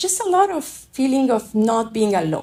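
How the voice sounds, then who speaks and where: Speaking at a moderate pace, a woman has lively intonation and a dark, mellow tone. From Afghanistan and France. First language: French and Dari. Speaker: refugee. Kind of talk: personal testimony. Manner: reflective, some hesitation.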